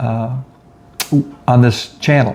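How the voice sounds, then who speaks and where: A man's medium-pitched voice with an American accent over noticeable background noise. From South Florida. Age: 70s. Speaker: retired crime scene investigator, genealogy researcher. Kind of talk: casual talk to camera.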